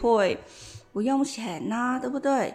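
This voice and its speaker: A woman's high voice in a Vietnamese accent, at a moderate pace with ordinary pitch variation. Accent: Vietnamese accent in Mandarin. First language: Vietnamese (speaking Chinese). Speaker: massage parlor beautician. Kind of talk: casual chat.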